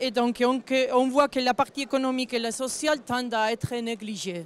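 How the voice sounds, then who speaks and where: With a non-native accent, a woman talks at a fairly slow pace in a high pitch, her intonation fairly even. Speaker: forestry association director. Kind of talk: panel discussion. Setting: round table at agricultural fair. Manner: halting, partly read.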